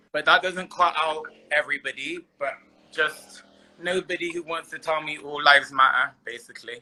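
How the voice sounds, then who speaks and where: Speaking with a Bristol accent, a man with a fairly high voice keeps his intonation fairly even while his loudness swings widely. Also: moderate pace. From Bristol, England. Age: 30s. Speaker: guest on dating live stream. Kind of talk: casual chat.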